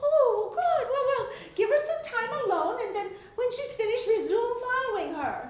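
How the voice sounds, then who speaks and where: A squeaky, put-on character voice with lively intonation. It moves at a moderate pace with audible echo. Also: woman, extremely high pitch for a woman. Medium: stage play. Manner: flustered, giggly.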